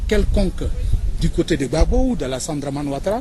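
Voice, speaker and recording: Very wide pitch swings from a male speaker, noticeable background noise behind him. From Côte d'Ivoire. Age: 40s. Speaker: interviewee. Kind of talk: interview.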